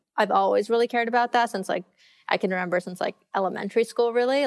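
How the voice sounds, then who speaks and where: Speaking with an American accent at a very fast pace, a woman uses ordinary pitch variation in a dry, close sound with no echo, on a very clean recording with a silent background. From US, Los Angeles. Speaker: ecommerce founder and former teacher. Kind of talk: interview conversation.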